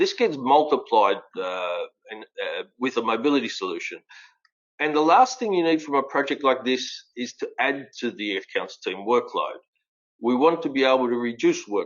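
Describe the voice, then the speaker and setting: This man has an Australian accent. He talks at a moderate speed. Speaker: fleet and mobility expert. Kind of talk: webinar presentation.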